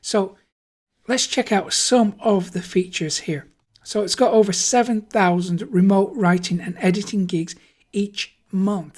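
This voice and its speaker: A woman's medium-pitched, somewhat breathy voice in an enthusiastic tone at a fairly slow pace. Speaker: online marketing YouTuber. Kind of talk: screen-share tutorial.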